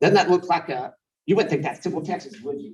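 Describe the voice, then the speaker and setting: Somewhat breathy, this man's voice comes through. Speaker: city staff director presenting to council. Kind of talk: council workshop presentation. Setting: city council meeting. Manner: fast; animated.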